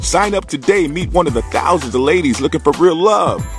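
A man talks fairly quickly. Behind his voice, music is playing. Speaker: voice actor. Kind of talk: radio commercial read. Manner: casual, urban.

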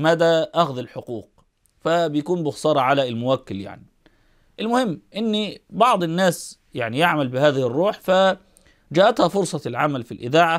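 Over a quiet background, a man speaks at a fairly high pitch. His intonation is lively, and his pace is fairly slow. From Egypt. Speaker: Islamic scholar commentator. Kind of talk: eulogy talk to camera. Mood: calm, respectful eulogy. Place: home room. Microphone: lapel.

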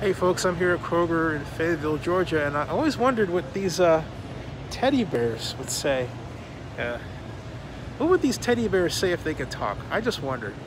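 Noticeable background noise runs under a man's high-pitched voice. He talks at a moderate pace, and the sound is dry with no echo. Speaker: vlogger. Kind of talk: casual vlog chat. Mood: playful, curious. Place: shop. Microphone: phone near.

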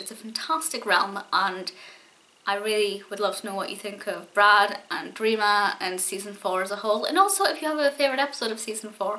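Words come at a very fast pace from the woman speaking. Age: 20s. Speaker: YouTube TV show reviewer. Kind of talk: solo video review monologue. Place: home room. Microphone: webcam.

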